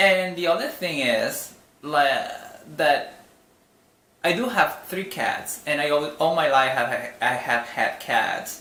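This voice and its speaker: Very slow speech in a non-native accent, with audible room echo and noticeable background noise. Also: man. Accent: noticeable foreign. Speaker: vlogger. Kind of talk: casual vlog monologue. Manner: halting, with many fillers and restarts.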